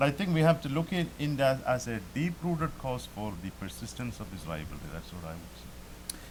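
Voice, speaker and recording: A man speaks at a fairly quick pace with hardly any pauses, his medium-pitched voice making very wide pitch swings. His loudness swings widely, and noticeable background noise runs underneath. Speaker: professor and author. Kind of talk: panel discussion.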